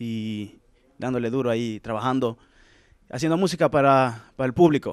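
With ordinary pitch variation, a man talks at a moderate pace in a dry sound with no echo and a quiet background. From Latin America, childhood until 7, then Sweden. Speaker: singer; interviewee. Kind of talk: casual interview. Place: hall. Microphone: handheld.

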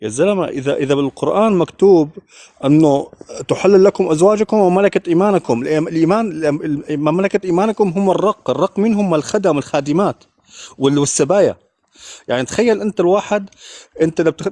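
Moderate in pace, a man speaks in a high pitch. His tone is dark and mellow. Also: ordinary pitch variation. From Syria. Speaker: caller in live debate; caller. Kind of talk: heated debate. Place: street. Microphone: video call.

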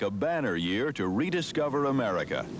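The recording has noticeable background noise and a dry sound with no echo. The speech moves at a moderate pace. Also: man. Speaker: network news reporter. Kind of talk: news narration.

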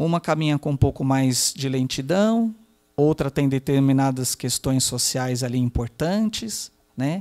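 Over a quiet background, a man talks with lively intonation, his fairly high pitch paired with a dark, mellow tone. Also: fairly slow pace. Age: 40s. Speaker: geriatrician and palliative care doctor; panelist. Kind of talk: panel discussion talk. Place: hall. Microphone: handheld.

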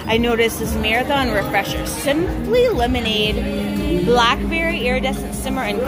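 Over loud background music, a woman talks at a moderate pace. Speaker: shopping vlogger. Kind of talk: casual vlog chat. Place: shop. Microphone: phone near.

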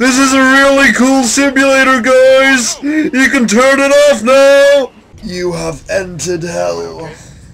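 An extremely high-pitched man speaking at a very slow pace over noticeable background noise. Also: ordinary pitch variation. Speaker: gaming youtuber. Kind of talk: let's play commentary. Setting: wearing headphones while gaming. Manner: loud.

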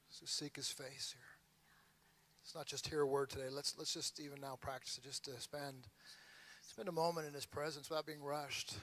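Long, frequent pauses break up a man's speech, delivered in a monotone, flat intonation. The sound is dry, with no echo. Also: fairly high pitch for a man, fairly quick pace. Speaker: pastor. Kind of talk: prayer. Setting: church with audience. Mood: earnest, prayerful. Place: church. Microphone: handheld.

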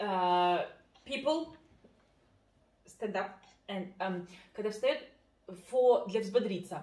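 In a Russian accent, a woman speaks at a very slow pace with long, frequent pauses, her fairly high pitch moving in very wide swings amid audible room echo. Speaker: family vlogger. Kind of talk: casual chat. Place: kitchen.

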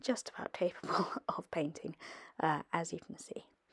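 A woman talks with a British accent. The sound is dry and close, with no echo. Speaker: watercolour artist. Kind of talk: tutorial. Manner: hesitant, many fillers.

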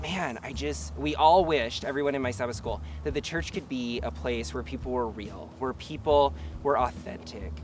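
A man at a moderate pace, very wide pitch swings, dry sound with no echo, music in the background. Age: 20s. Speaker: filmmaker and activist. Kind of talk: personal testimony. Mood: warm, heartfelt, upbeat. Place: garden.

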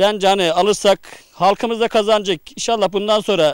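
Against a quiet background, a man's high-pitched voice comes across with a dry sound and no echo. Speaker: local official or community leader. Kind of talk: interview. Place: garden. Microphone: handheld.

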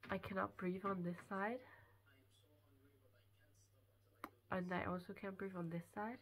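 A woman speaks at a fairly slow pace in a monotone, flat intonation. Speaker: vlogger. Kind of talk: casual vlog chat. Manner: blocked nose, congested sick voice. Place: home room. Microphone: phone near.

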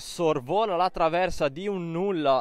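A man with a high pitch speaks over a quiet background. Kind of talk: sports commentary. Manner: rapid-fire, breathless play-by-play delivery, clipped phrases; animated, rising excitement on near misses and goals.

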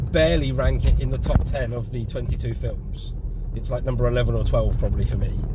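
There is noticeable background noise behind this man. He talks at a moderate pace, and the sound is dry with no echo. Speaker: passenger reviewing a film. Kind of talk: casual vlog chat. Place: car. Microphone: phone near.

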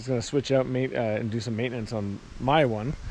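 Fairly quick speech from a man, dry with no echo, over light background noise. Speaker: vehicle owner vlogger. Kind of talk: casual vlog chat. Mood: wry, mildly frustrated. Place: open country. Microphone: phone near.

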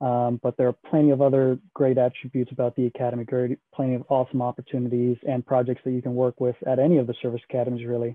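Speaking at a very fast pace with hardly any pauses, this voice has an American accent and monotone, flat intonation over a quiet background. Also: man. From Houston, Texas. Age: 20s. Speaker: military admissions advisor. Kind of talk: information session presentation. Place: home room. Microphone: video call.

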